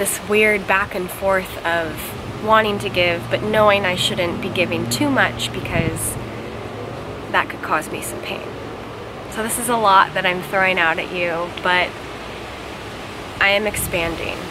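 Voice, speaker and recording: Ordinary pitch variation at a fairly slow pace, with long, frequent pauses and noticeable background noise. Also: woman. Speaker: vlogger. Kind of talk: casual vlog chat. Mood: reflective, earnest. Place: garden. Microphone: camera far.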